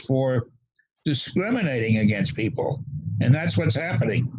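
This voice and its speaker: Speaking with an American accent, a man's voice carries a somewhat breathy quality. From US South, Louisiana. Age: 80s+. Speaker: civil rights advocate. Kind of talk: interview.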